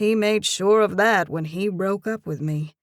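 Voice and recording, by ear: Reading aloud in a natural voice, with pitch varying in an ordinary way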